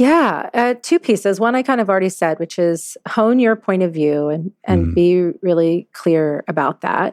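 A woman with a slight Southern US accent, medium pitch and lively intonation, hardly any pauses, in a dry, close sound with no echo. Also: moderate pace. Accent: little Southern. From US South, Louisiana. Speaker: CEO. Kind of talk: interview. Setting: remote call.

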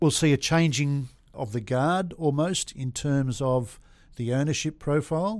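Speaking at a fairly slow pace with an Australian accent, a man uses a fairly high pitch and ordinary pitch variation on a very clean recording with a silent background. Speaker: industrial property agent. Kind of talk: interview. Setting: studio. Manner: animated.

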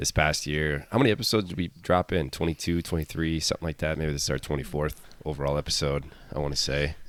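His pitch is very deep and low, with vocal fry and fairly even intonation. The man rattles along at a very fast pace. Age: 30s. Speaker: fitness coach and podcast host. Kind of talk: casual chat.

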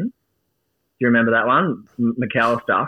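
This man talks at a fairly quick pace and a medium pitch, with an Australian accent. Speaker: football fan. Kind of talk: casual chat. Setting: studio. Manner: animated.

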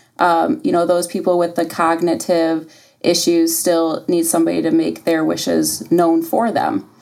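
Speaking at a moderate pace with very even loudness, a woman talks in an American accent. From US Midwest, Toledo, Ohio. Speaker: hospice nurse. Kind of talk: podcast interview. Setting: studio. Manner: hesitant, many ums.

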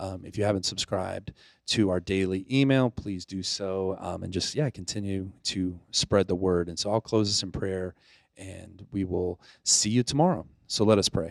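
A man with an American accent and an unremarkable speaking voice talks at a fairly low pitch and moderate pace, with fairly even intonation, on a very clean recording, silent background. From US South, Pensacola, Florida. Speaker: youth ministry director. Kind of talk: devotional reflection. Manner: casual with fillers.

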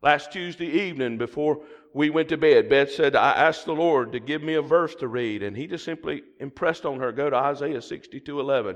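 With a Southern US accent, a man speaks at a fairly quick pace with hardly any pauses, his pitch fairly high with ordinary variation. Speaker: guest preacher. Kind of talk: sermon. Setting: church with congregation. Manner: animated.

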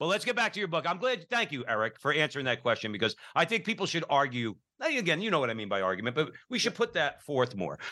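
Against a quiet background, a man talks at a very fast pace with a fairly high pitch and vocal fry. His tone is bright and sharp, and his pitch swings very widely. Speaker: radio host. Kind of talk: radio interview. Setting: radio studio.

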